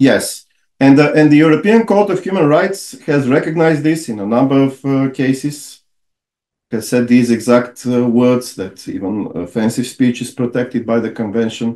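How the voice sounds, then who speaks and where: A man with a Bulgarian accent speaks in a dark, mellow tone with lively intonation. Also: medium pitch for a man, moderate pace. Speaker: lawyer and author. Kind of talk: podcast interview. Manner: halting.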